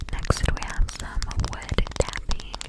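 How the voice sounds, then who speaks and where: A soft-spoken woman is whispering. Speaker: ASMR creator. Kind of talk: soft ASMR whisper-talk to viewer. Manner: soft close-mic ASMR whisper. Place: home room. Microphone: studio mic.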